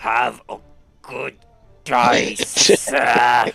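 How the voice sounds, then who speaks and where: A man puts on a growling character voice at medium pitch, with faint music in the background. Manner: growling, curt, disgusted.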